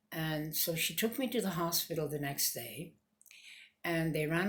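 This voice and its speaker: At a moderate pace, a woman talks in a very deep, low pitch that is somewhat breathy. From Canada. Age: 70s. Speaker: cancer patient. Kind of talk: personal testimony.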